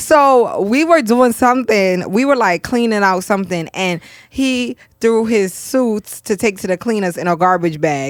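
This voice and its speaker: A woman with a New York accent speaks fairly slowly in a fairly high pitch, with lively intonation and an animated tone. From New York, Brooklyn. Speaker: podcast host. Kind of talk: casual chat.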